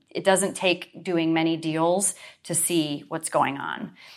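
A woman with an American accent speaks in a normal speaking voice, at a fairly low pitch with fairly even intonation. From Western New York. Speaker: real estate broker and speaker. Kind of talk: interview, casual.

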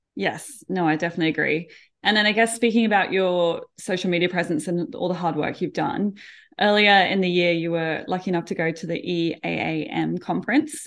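Fairly quick and fairly low-pitched, a woman talks with an Australian accent and ordinary pitch variation. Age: 30s. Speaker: podcast host, animal trainer. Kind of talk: interview conversation.

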